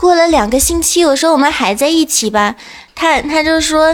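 A woman talks with lively intonation in a high pitch. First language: not Chinese (speaking Chinese). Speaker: guest. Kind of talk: casual chat.

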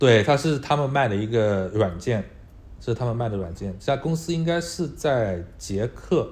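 A somewhat breathy man speaks with lively intonation. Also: medium pitch for a man, moderate pace. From Hangzhou, China. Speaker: data engineer. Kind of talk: casual interview chat. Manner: hesitant, many fillers.

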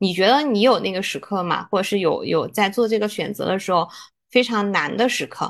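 A woman talks at a fairly quick pace and medium pitch, in a plain, everyday voice. The background is quiet. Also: ordinary pitch variation. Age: 30s. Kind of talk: casual chat.

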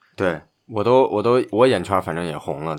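The pitch swings very widely at a moderate pace, on a very clean recording with a silent background. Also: man. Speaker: basketball podcast host. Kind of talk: casual chat.

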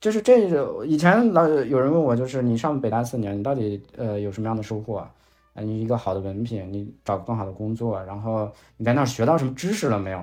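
A man talks fairly quickly in an unremarkable speaking voice, medium in pitch, with ordinary pitch variation. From Shanxi, China. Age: 30s. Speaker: finance video creator. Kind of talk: casual chat.

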